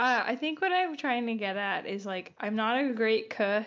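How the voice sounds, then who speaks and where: A woman speaks with an American accent at a moderate pace. She has an unremarkable speaking voice and lively intonation. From Long Island, New York. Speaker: podcast host. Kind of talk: casual chat.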